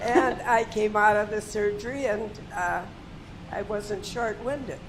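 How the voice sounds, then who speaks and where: Audible room echo and noticeable background noise surround a woman with an American accent. Her pitch is fairly high, with ordinary variation. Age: 90s. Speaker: patient. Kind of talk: testimony.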